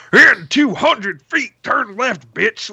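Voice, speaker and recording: A man puts on a character voice at an extremely high pitch, raised and projected. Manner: mocking, crude.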